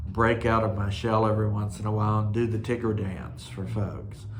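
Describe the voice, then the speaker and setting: A man with a relaxed tone and a fairly low, somewhat breathy voice keeps his intonation fairly even amid audible room echo. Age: 60s. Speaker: cross stitch video host. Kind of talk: casual monologue. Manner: relaxed, with frequent fillers.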